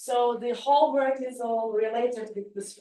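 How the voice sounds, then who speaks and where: A woman with a Turkish accent at a fairly slow pace. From Turkey. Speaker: philosophy professor. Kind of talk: academic conference talk. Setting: video call. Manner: halting.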